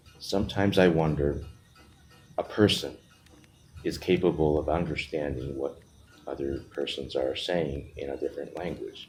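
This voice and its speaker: A man's very deep, low voice in a Japanese accent, fairly even in intonation, at a moderate pace with long, frequent pauses. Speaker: vlogger. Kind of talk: personal monologue.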